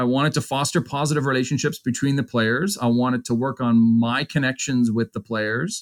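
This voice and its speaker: A man with a Canadian accent uses a normal speaking voice at a medium pitch, moving at a fairly quick pace with hardly any pauses. The recording is very clean with a silent background, and the sound is dry and close, with no echo. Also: ordinary pitch variation. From Ontario, Canada. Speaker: university hockey coach. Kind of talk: interview.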